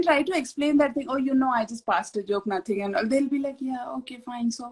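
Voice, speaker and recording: With an Indian accent, a woman speaks fairly quickly in a high voice. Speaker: author. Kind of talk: casual chat.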